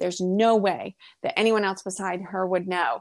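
A woman with a medium pitch and an American accent speaks at a moderate pace with ordinary pitch variation in an unremarkable speaking voice, recorded very cleanly against a silent background. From US Northeast, rural Maine. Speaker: holistic health practitioner and intuitive. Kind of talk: casual interview.

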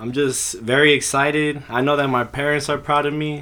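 Speaking at a moderate pace, a man with an American accent has a fairly high pitch. His tone is bright and sharp, his intonation monotone and flat. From California, Modesto. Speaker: university student. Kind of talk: interview.

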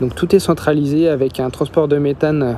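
Noticeable background noise surrounds a man speaking at a moderate pace. His voice is fairly high, with fairly even intonation. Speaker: travel podcaster. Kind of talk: travel narration.

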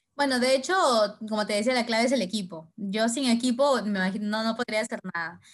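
A woman talks in a fairly high, somewhat breathy voice with ordinary pitch variation. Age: 20s. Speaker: entrepreneur. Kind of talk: interview.

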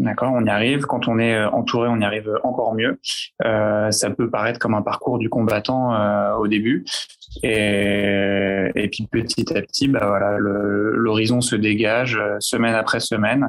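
With very even loudness and monotone, flat intonation, a man talks at a fairly slow pace in a fairly low voice. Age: 20s. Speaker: psychiatrist. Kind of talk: panel discussion. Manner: halting.

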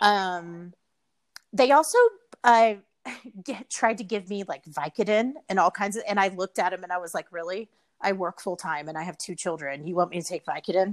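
With a Texan accent, a woman talks at a fairly quick pace and medium pitch, showing ordinary pitch variation and big swings in loudness in a dry, close sound with no echo. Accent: Texan Southern US. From Texas. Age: 40s. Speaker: hospitality entrepreneur. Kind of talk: casual interview chat.

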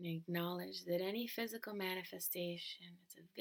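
Here is a woman with an ordinary speaking voice. Her pitch is fairly low, with ordinary pitch variation. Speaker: meditation guide. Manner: slow, soothing, calm and measured, with long pauses between short phrases.

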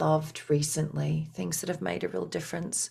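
A woman is speaking. She has an Australian accent. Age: 40s. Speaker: leadership and business coach. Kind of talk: interview conversation.

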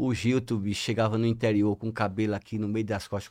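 A man with an unremarkable speaking voice and a fairly low pitch, at a moderate pace, in a very clean recording with a silent background. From Sergipe, Brazil (Ribeirópolis). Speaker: lawyer and celebrity bodyguard. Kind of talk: casual chat.

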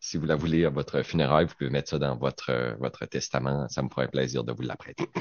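With vocal fry and a very deep, low pitch, a man talks in fairly even intonation with hardly any pauses. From Quebec, Saguenay-Lac-Saint-Jean. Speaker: radio panelist. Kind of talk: casual chat.

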